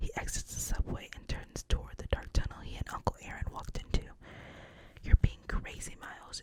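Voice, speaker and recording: Whispering at a moderate pace, a woman can be heard over noticeable background noise. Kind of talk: ASMR script reading. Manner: whispered, soft-spoken.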